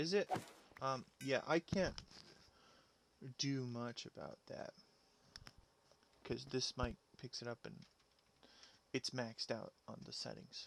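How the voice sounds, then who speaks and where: A soft-spoken man talks at a very slow pace with long, frequent pauses and big swings in loudness. The sound is dry and close, with no echo. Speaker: gaming streamer. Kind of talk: live gameplay commentary. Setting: live stream. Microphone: mic maxed out on settings, quiet.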